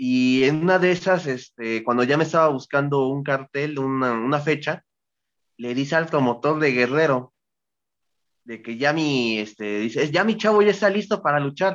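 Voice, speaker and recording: A man with a plain, everyday voice speaks at a moderate pace. His pitch is fairly high and his intonation is lively. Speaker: professional wrestler. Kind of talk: interview.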